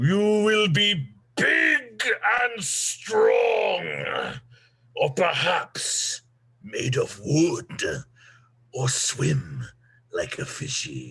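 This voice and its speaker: A man uses a growling, put-on character voice, speaking at a very slow pace with long, frequent pauses. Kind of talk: dark fairy-tale villain. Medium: stage play. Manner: commanding, ominous.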